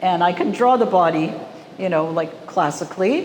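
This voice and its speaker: A woman with a Canadian accent speaks in a fairly low pitch with lively intonation. Audible room echo and noticeable background noise are present. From Canadian prairies, Winnipeg. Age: 60s. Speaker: artist. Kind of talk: gallery talk. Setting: art gallery with audience. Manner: casual, conversational.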